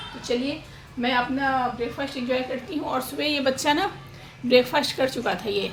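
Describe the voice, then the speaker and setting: Noticeable background noise and audible room echo accompany a woman speaking at a high pitch. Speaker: family vlogger. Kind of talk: casual vlog talk.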